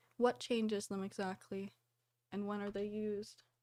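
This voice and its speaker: The speech moves at a moderate tempo. It is a very clean recording with a silent background. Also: woman. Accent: Canadian. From Canada. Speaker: live streamer. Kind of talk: casual chat. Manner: casual, uses many fillers.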